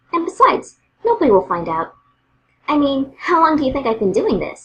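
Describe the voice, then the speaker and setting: A female-sounding voice does a put-on character voice in a high pitch. It moves at a fairly quick pace with very wide pitch swings. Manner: bubbly, upbeat.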